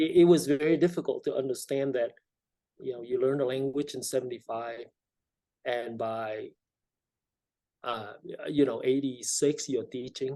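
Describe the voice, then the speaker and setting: A man speaks in a Vietnamese accent with a dark, mellow tone. His moderate pace is broken by long, frequent pauses, and his intonation stays fairly even. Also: medium pitch for a man. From South Vietnam, emigrated to California at 13. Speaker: state legislator. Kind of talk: interview.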